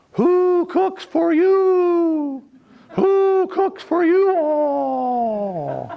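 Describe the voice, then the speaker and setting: Someone uses a put-on character voice at an extremely high pitch, speaking very slowly. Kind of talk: demonstration for an audience. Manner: rhythmic hooting cadence.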